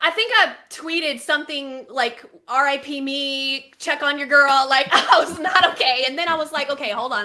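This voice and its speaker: Amid noticeable background noise, a woman with a Texas accent uses a raised, projected voice at a high pitch. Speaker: baseball podcast co-host. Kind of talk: casual chat. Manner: animated.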